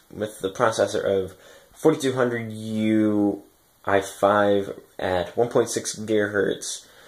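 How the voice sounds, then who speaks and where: A man with a normal speaking voice talks at a fairly slow pace in a fairly low pitch. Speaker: electronic music producer vlogger. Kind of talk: casual vlog, equipment overview. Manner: casual, filler-heavy.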